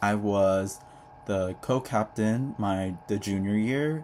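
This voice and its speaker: Noticeable background noise runs through the clip. A man speaks at a fairly low pitch. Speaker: vlogger, incoming college student. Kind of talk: casual vlog monologue. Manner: casual, chatty with fillers.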